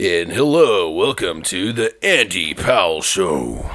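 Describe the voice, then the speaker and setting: Someone talks in a put-on character voice at a fairly slow pace. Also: man, very deep, low pitch for a man. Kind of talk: radio host. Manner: smooth, announcer-like.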